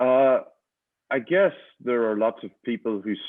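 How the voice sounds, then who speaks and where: Someone with an Irish accent talks at a moderate pace. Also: man. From Ireland. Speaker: high-performance coach. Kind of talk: interview.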